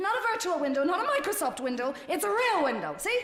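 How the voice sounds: Using a put-on character voice, a woman talks at a fast pace with extremely high pitch, a fairly bright tone and big pitch swings.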